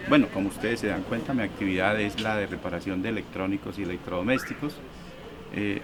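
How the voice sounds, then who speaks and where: There is noticeable background noise as a man speaks at a fairly quick pace. His pitch is fairly low and his intonation fairly even. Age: 60s. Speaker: electronics repair technician, market vendor. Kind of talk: documentary interview testimony.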